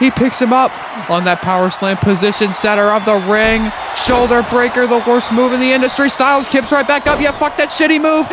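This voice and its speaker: Noticeable noise sits in the background. The talking goes along fairly quickly. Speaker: wrestling commentator. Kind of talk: live commentary. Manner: fast; animated.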